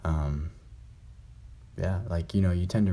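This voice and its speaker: In a dark, mellow, somewhat breathy voice of very deep, low pitch, a man talks at a fairly quick pace with monotone, flat intonation. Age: young. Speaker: podcast host. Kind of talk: casual solo chat. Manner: halting.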